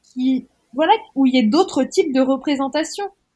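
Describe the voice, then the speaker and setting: This woman's high voice shows ordinary pitch variation as she talks at a moderate speed. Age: 30s. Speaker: author. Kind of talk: interview conversation.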